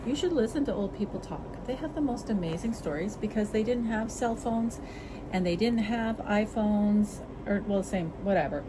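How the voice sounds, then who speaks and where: A woman's fairly high pitch with ordinary pitch variation at a moderate pace, with audible room echo and noticeable background noise. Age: 60s. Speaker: cat channel vlogger. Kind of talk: casual chat. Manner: casual, rambling with interruptions.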